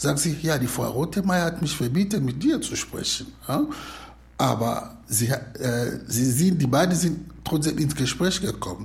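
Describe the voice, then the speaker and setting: A man speaks at a fairly slow pace. There is audible room echo. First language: not German (speaking German). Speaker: asylum seeker. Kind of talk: retelling a film story.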